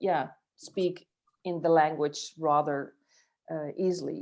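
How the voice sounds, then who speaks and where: A woman with a Dutch accent. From Netherlands, Friesland. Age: 40s. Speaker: futurist and author. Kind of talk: interview. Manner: halting, many fillers.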